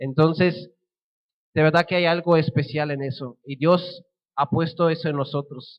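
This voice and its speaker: This man's voice sits fairly high and moves at a fairly slow pace. The intonation is fairly even. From Switzerland (German-speaking). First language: Swiss German (speaking Spanish). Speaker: missionary. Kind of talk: sermon.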